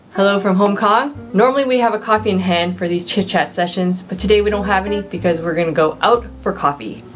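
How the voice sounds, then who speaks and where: Faint music sits in the background as a woman talks at a very fast pace with hardly any pauses. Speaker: vlogger. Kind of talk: casual vlog chat. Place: home room.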